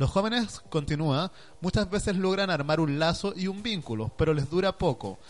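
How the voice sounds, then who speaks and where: A man with a Chilean accent, high-pitched, lively intonation, moderate pace. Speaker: online radio co-host. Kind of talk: casual chat.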